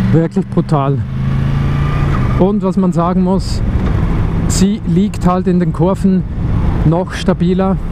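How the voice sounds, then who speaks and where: The speech moves at a very slow pace. The sound is dry with no echo, and noticeable background noise is present. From Switzerland. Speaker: motovlogger. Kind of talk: casual motorcycle vlog commentary. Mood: enthusiastic. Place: motorbike. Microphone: helmet.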